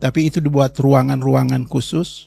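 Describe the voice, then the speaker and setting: A man speaks at a medium pitch and a moderate pace, his tone dark and mellow. His voice is somewhat breathy, with fairly even intonation. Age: 70s. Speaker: pastor. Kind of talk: testimony. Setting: talk to students at a Bible school.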